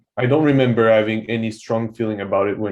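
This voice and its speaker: With a French-Canadian accent, a man speaks very fast at a fairly low pitch, keeping his intonation fairly even. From Quebec, Canada (francophone). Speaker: soldier, military veteran. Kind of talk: podcast conversation. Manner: halting, many fillers and repetitions.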